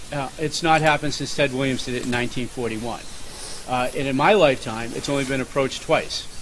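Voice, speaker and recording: Over noticeable background noise, a man in a Boston accent talks fairly quickly, his pitch varying in an ordinary way. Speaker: podcast host. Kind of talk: casual chat.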